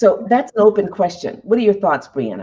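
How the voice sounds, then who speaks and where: A woman speaks at medium pitch with an American accent. Vocal fry runs through her voice. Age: 60s. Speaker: leadership show host. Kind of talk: interview. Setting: live online broadcast. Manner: hesitant with fillers.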